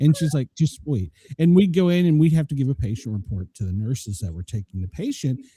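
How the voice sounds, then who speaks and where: A man with an American accent speaks very fast, his fairly high pitch swinging very widely. His tone is dark and mellow, somewhat breathy, with a dry, close sound and no echo. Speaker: podcast host, former flight medic. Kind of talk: casual chat.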